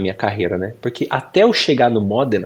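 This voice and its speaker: This man uses an ordinary speaking voice at a fairly low pitch. He talks at a moderate pace. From Brazil, Bragança Paulista (São Paulo state). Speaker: professional footballer. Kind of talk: interview. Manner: casual conversational.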